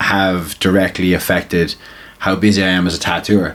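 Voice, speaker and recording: A man speaks with a slight Limerick accent. His pace is moderate. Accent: Limerick Irish, slight. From Ireland, Limerick. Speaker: tattoo artist and crossover boxer. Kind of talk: podcast interview. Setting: tattoo studio.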